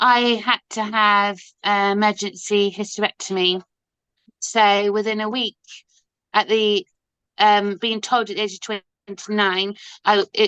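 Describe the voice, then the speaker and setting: The voice has a bright, sharp tone and monotone, flat intonation, moving at a fairly slow pace with long, frequent pauses against a quiet background with a dry, close sound and no echo. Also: woman, medium pitch for a woman. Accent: West Country. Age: 50s. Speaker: ostomy advocate and busker. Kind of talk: interview. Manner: halting, many fillers.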